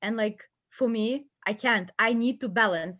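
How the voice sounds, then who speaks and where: In a very clean recording with a silent background, a woman with a Ukrainian accent speaks in a fairly high voice with ordinary pitch variation. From western Ukraine, Lviv. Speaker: immigrant student guest. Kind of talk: casual chat. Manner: animated.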